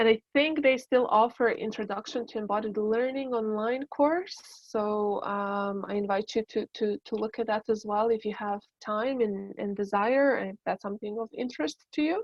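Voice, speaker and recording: A woman in a Serbian accent at a moderate pace, fairly high in pitch with ordinary variation and hardly any pauses. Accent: Balkan (Serbian) accent in English. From Balkans. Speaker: embodiment educator and dancer. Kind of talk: talk to an online workshop group.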